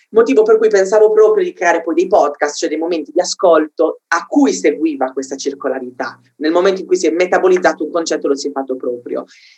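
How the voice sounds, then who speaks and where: A man talks at a very fast pace in a high pitch with lively intonation. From Sardinia, Cagliari. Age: 20s. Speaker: philosophy content creator. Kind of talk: casual interview. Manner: halting, repeats words.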